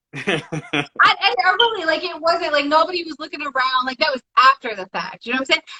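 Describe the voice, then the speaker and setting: A woman speaks in a raised, projected voice, high in pitch and animated in tone. Her pace is fairly quick, her intonation lively, and her loudness swings widely. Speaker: podcast guest. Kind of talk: casual chat.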